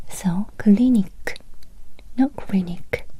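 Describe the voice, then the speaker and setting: Soft-spoken, very slow speech with fairly even intonation over noticeable background noise. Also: woman. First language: Japanese. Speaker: language teacher. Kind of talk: ASMR language lesson.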